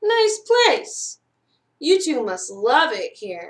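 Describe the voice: At a very slow pace, a woman performs a put-on character voice, high-pitched and swinging very widely in pitch.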